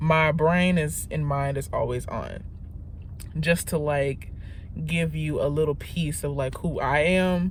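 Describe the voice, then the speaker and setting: A woman speaks at a very slow pace amid audible room echo. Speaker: vlogger. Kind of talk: casual vlog monologue. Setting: in a car. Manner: halting, self-correcting.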